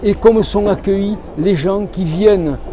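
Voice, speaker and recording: Against crowd noise in the background, a man speaks with ordinary pitch variation. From southern France, Cévennes foothills (Hérault/Gard). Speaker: author. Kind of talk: interview.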